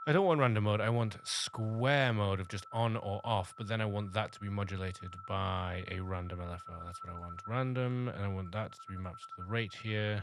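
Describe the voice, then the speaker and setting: Over noticeable background noise, a man with a fairly low pitch talks at a fairly quick pace with hardly any pauses, ordinary pitch variation and big swings in loudness, in a dry sound with no echo. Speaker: music production youtuber. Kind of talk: tutorial. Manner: casual. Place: home room. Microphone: studio mic.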